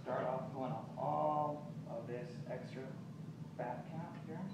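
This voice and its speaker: Loud background noise and audible room echo accompany a man as he speaks. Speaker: chef instructor. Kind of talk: cooking class demonstration. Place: shop. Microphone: camera far.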